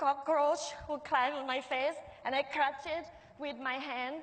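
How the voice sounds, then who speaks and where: The voice is monotone and flat, with audible room echo around it. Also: woman. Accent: Thai. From Thailand, Bangkok. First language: Thai. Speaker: restaurant owner and chef. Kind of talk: public talk. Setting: stage with audience.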